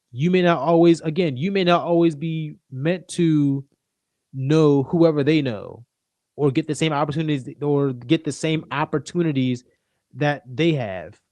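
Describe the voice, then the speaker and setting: A man's fairly high pitch, fairly even intonation and fairly slow pace. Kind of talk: casual livestream talk. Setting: livestream.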